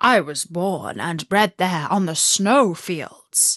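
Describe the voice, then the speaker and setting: Recorded with a dry, close sound and no echo, a woman does a raspy put-on character voice at a medium pitch and a very slow pace. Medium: read story.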